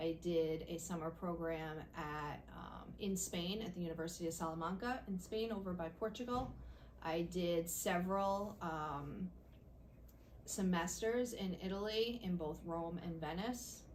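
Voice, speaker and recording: A woman's fairly low voice at a fairly slow pace, with audible room echo. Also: ordinary pitch variation. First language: Italian. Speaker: school principal. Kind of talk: interview answers.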